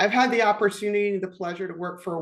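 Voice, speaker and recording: This woman's voice sits at a medium pitch and shows ordinary pitch variation. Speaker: IT program and project manager. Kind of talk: podcast interview conversation.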